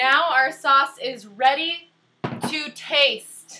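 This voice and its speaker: Her voice is raised and projected. The woman's pitch is high. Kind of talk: cooking demonstration to camera. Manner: slow, loud; playful, silly.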